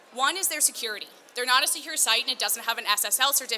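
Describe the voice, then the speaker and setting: Her voice is high-pitched, with a bright, sharp tone. The woman talks at a fairly quick pace with ordinary pitch variation. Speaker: digital marketing specialist. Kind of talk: conference talk. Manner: fast.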